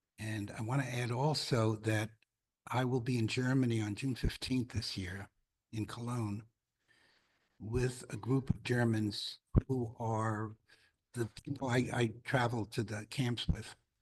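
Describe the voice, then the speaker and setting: The voice is somewhat breathy, with monotone, flat intonation. It moves at a fairly slow pace with long, frequent pauses. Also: man, medium pitch for a man. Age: 80s+. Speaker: congregant sharing a memory. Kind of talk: testimony. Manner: halting.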